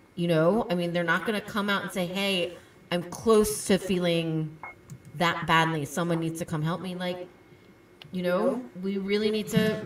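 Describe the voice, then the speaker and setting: A woman's medium-pitched voice with fairly even intonation, over noticeable background noise. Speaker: podcast co-host. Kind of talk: casual chat.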